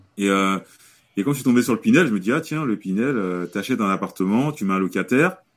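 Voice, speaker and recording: On a very clean recording with a silent background, a man speaks at a very fast pace. His intonation is lively. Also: medium pitch for a man. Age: 30s. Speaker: real estate investor. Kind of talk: casual interview.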